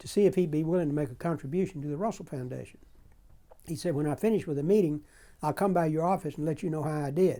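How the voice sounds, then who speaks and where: On a very clean recording with a silent background, a man with an American accent races along at a very fast pace in a fairly high pitch with a dark, mellow tone. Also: ordinary pitch variation. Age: 80s+. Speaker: former political aide. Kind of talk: oral history interview. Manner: halting.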